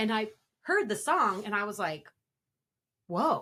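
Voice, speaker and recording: With a Pacific Northwest accent, a woman speaks at a very slow pace and a fairly high pitch, her voice making very wide pitch swings. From Spokane area, Washington. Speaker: rapper. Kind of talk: interview.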